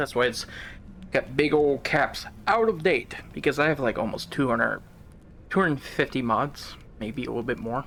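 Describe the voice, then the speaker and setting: A man keeps a moderate pace while music sounds behind him. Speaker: gaming video creator. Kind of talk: gameplay commentary. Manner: casual, rambling with fillers.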